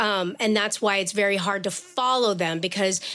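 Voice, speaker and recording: This is a plain, everyday voice. It belongs to a woman with a medium pitch. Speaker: education activist, longtime educator. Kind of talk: podcast interview.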